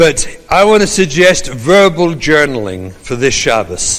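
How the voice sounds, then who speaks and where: A man with an English accent speaks in very wide pitch swings, with audible room echo and noticeable background noise. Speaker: rabbi and trauma educator. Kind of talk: lecture.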